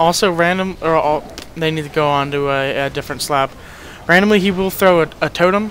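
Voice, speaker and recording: Noticeable background noise sits behind a man who speaks with a high pitch, ordinary pitch variation and a fairly quick pace. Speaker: gaming guide youtuber. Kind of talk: gameplay commentary tutorial. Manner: fast; casual with many fillers.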